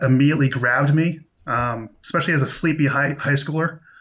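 A man is speaking at a moderate pace. His pitch sits fairly high. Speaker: film podcast guest. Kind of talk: casual chat.

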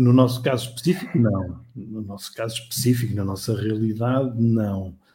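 The voice has a dark, mellow tone and sounds somewhat breathy. It moves at a moderate pace with ordinary pitch variation and hardly any pauses. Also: man, medium pitch for a man. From Portugal, Matosinhos. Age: 40s. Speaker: marketing director. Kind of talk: interview. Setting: live stream. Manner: halting, many repetitions and fillers.

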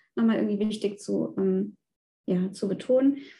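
Woman's somewhat breathy voice with a dark, mellow tone and ordinary pitch variation. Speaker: nutrition scientist, guest. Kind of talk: testimony.

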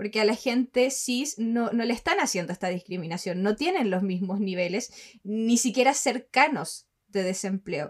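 A woman speaks with a Chilean accent at a fairly high pitch. Her intonation is lively. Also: moderate pace. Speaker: podcast co-host. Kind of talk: casual chat.

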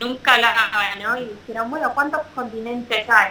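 Her fairly high voice carries fairly even intonation as the woman talks. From Argentina. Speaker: professional mountain bike racer. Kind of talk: interview. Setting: video call.

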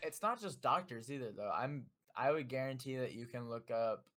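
Using a normal speaking voice, this man keeps a medium pitch and ordinary pitch variation. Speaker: podcast co-host. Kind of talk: casual chat. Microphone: new mic.

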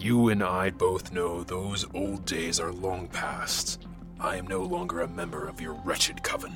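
With loud music in the background, a man uses a put-on character voice at a very deep, low pitch. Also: moderate pace. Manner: cold, barely controlled rage, commanding.

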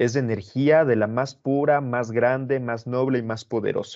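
A man speaks at a fairly slow pace in a medium pitch. He has a normal speaking voice. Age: 20s. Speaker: motivational coach. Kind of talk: casual chat.

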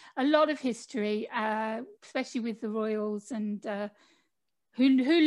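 A woman with an ordinary speaking voice, fairly high in pitch, on a very clean recording with a silent background. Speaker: podcast host and author. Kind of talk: casual interview chat.

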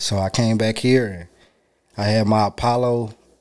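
A man's monotone, flat delivery at a medium pitch, in a very clean recording over a silent background. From Charlotte, North Carolina, US South. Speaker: audio engineer and rapper. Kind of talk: casual chat.

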